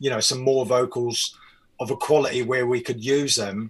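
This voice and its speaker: In a New Zealand accent, a man speaks at a moderate pace and medium pitch, his intonation fairly even. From New Zealand, Auckland. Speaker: music producer. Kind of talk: interview.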